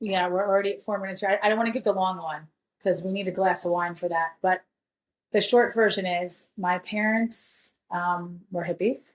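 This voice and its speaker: A woman at medium pitch speaks in an ordinary speaking voice, her intonation fairly even and her pace moderate. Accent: American. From New York City and Jamaica. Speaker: podcast co-host. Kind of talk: casual chat.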